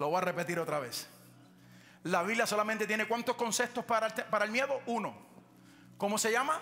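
A man with a high pitch speaks in a raised, projected voice and an animated tone, at a fairly quick pace with long, frequent pauses. His pitch varies in an ordinary way, and background noise is noticeable. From Puerto Rico. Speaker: pastor. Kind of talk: sermon.

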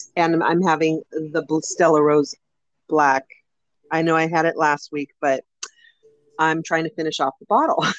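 Her very deep, low voice stays monotone and flat, broken by long, frequent pauses. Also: fairly slow pace. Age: 50s. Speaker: podcast co-host. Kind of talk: casual chat.

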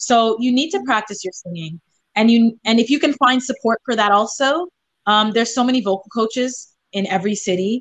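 An unremarkable speaking voice from a woman, fairly high in pitch, with ordinary pitch variation. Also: fairly quick pace. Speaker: singer-songwriter. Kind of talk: casual interview chat.

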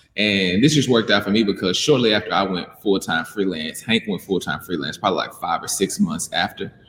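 Fairly quick speech with hardly any pauses and ordinary pitch variation. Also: man, fairly low pitch for a man. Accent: Southern US. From Mississippi, US South. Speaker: animator and business owner. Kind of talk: interview.

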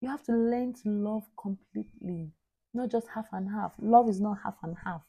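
A woman talks at a moderate pace in a fairly high pitch with ordinary pitch variation. Her tone is dark and mellow, and somewhat breathy. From Nigeria, Anambra (Igbo). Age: 20s. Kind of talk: faith podcast monologue. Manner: earnest, exhorting.

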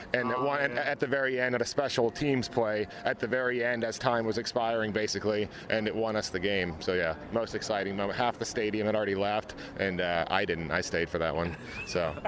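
There is noticeable background noise as a man with an American accent speaks fairly quickly in a fairly low voice. His loudness stays very even, and his pitch varies in an ordinary way. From US South, Nashville. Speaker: NFL fan. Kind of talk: interview.

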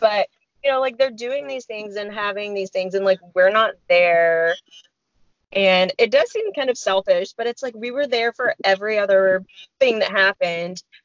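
A woman speaks in a normal speaking voice at a moderate pace. Her pitch sits in the medium range, with ordinary variation. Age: 30s. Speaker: podcast co-host. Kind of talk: casual chat.

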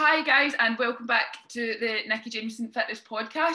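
Here is a woman with an ordinary speaking voice at a moderate pace. Her fairly high pitch varies in an ordinary way. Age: 20s. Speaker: podcast host, fitness athlete. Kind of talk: casual chat.

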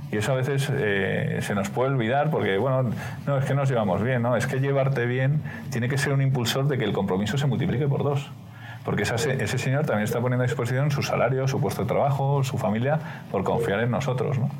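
Over noticeable background noise and audible room echo, a man talks very fast, with fairly even intonation and very even loudness. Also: medium pitch for a man. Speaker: business executive. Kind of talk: interview.

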